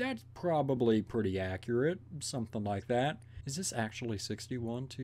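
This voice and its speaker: With ordinary pitch variation, a man talks in a dark, mellow tone. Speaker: video reactor. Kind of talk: casual reaction commentary. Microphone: earbuds.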